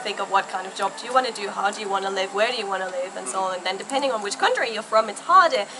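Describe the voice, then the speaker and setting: With noticeable background noise, the speaker talks at a very fast pace with lively intonation. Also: woman. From Germany. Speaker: fashion YouTuber. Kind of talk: interview. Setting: outdoors.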